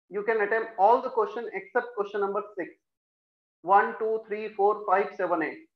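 A man speaks at a moderate pace with a high pitch and fairly even intonation. The room echo is audible, and the background is quiet. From India. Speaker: chemistry teacher. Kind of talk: online class lecture. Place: classroom.

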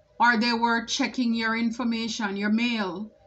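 A woman's flat, monotone delivery at a fairly slow pace, with music in the background. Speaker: tarot reader. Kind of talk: tarot reading commentary. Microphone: phone near.

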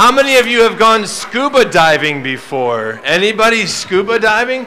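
A man uses a raised, projected voice with ordinary pitch variation over light background noise. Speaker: presenter. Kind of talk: lively talk to children. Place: stage.

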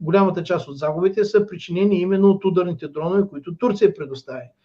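A man speaks with a high-pitched voice and ordinary pitch variation against a quiet background. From Bulgaria. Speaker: political commentator. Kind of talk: political commentary. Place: home room. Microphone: webcam.

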